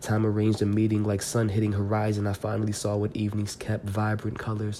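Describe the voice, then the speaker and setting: With noticeable background noise behind him, a man rattles along at a very fast pace, his fairly low voice monotone and flat. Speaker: poet and podcast host. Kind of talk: casual monologue; poetry reading. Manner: hesitant, many fillers.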